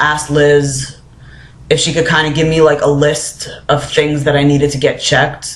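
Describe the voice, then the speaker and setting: Audible room echo surrounds a man with a fairly high, somewhat breathy voice. He speaks in a flat monotone. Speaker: vlogger. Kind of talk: casual vlog. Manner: many filler words.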